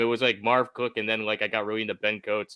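Dry and close with no echo, a man's fairly low-pitched voice has a bright, sharp tone. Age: 30s. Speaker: fantasy football writer. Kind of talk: casual chat.

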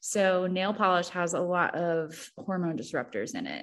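In an American accent, a woman with a normal speaking voice talks at a medium pitch and a fairly slow pace against a quiet background. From Missouri. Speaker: entrepreneur. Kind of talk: casual chat.

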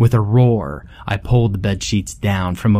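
A natural voice reading text aloud

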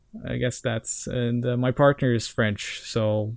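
Here a man with a Norwegian accent speaks at a medium pitch. His very slow delivery is monotone and flat. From Norway. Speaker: video game music historian. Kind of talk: casual chat.

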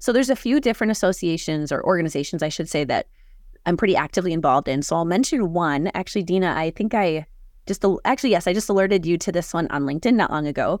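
Over a very clean recording with a silent background, a woman with an American accent talks at a very fast pace, her pitch fairly low and her intonation lively. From Minnesota, Hutchinson. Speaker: marketing consultant and company founder. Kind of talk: interview conversation.

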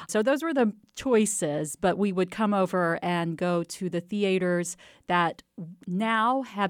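A woman with an American accent has an ordinary speaking voice and ordinary pitch variation. The recording is very clean, with a silent background. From Texas, near Waco. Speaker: history professor and author. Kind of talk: interview.

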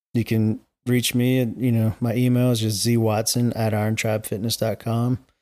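A man with an American accent speaks at a moderate pace and medium pitch, his intonation flat and monotone. His tone is dark and mellow, his loudness very even, and the recording very clean with a silent background. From Charlotte, North Carolina. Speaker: gym owner. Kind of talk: casual chat.

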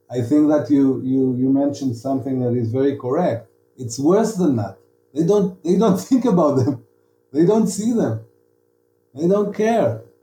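Somewhat breathy and dark, mellow in tone, a man's fairly high voice moves at a moderate pace with very wide pitch swings. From Israel, Negev (Arad). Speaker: novelist. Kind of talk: interview. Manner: halting, many repeated words.

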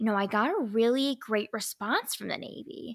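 Bright, sharp tone from a woman at a fairly slow pace, with ordinary pitch variation, in a very clean recording with a silent background. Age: 30s. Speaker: naval officer and podcast host. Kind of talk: casual interview chat. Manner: animated.

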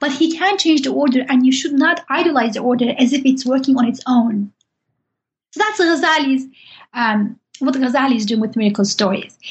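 With a Turkish accent, a woman speaks at a fairly quick pace in a high pitch. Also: lively intonation. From Turkey. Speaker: professor. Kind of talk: interview. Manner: halting.

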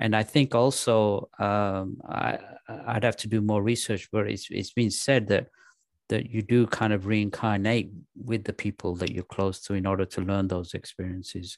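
In an English accent, a man speaks with fairly low pitch and fairly even intonation at a moderate pace. The sound is dry and close with no echo, over a quiet background. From England. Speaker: actor and comedian. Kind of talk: casual chat.

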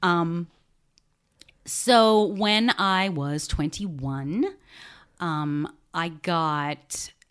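With an Australian accent, a woman talks in a fairly low pitch with ordinary pitch variation. The recording is very clean, with a silent background. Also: long, frequent pauses. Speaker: podcast host and genealogist. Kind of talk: casual interview, personal story.

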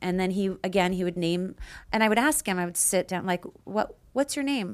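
This woman has an unremarkable speaking voice at a medium pitch. She talks at a moderate pace on a very clean recording with a silent background. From Canada, Peace River, Alberta. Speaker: nurse practitioner and podcast host. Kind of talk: casual chat.

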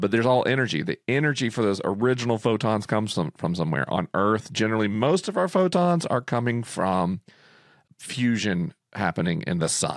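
On a very clean recording with a silent background, a man with an American accent and medium pitch talks at a fairly quick pace, with very wide pitch swings and very even loudness. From Florida. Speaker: podcast host. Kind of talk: casual chat.

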